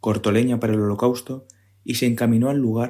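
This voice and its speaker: A man at a medium pitch and moderate pace, fairly even intonation, in a very clean recording with a silent background. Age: 30s. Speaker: civil service exam candidate, parish community member. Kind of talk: scripture reading.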